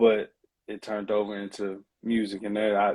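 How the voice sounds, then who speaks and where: Speaking with a Southern accent, a man with a fairly low pitch and a dark, mellow tone keeps a moderate pace on a very clean recording with a silent background. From US South, Mississippi. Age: 20s. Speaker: rapper. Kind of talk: interview.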